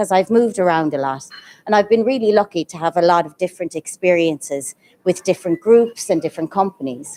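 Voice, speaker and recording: With an Irish accent, a woman at medium pitch speaks at a fairly quick pace, her dark, mellow tone and lively intonation caught in a dry, close sound with no echo. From Ireland. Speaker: guest of honor, education leader and counselor. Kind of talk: event speech. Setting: live event with audience, also streamed.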